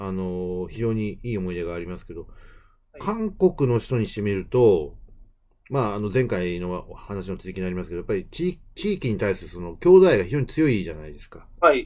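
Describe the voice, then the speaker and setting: With music in the background, a man's fairly low voice makes very wide pitch swings at a moderate pace. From Kansai, Japan. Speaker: podcast host. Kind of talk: casual chat.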